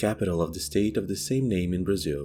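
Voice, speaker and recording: A man's lively intonation at a fairly quick pace, with music in the background. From Brazil. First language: Portuguese. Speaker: true crime YouTuber. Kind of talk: true crime narration.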